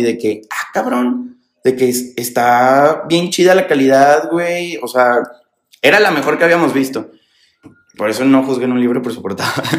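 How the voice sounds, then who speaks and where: A man talks with a plain, everyday voice at a medium pitch. His pace is moderate, with ordinary pitch variation. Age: 20s. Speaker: entrepreneur, fashion brand founder. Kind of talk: casual interview chat. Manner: casual, slangy.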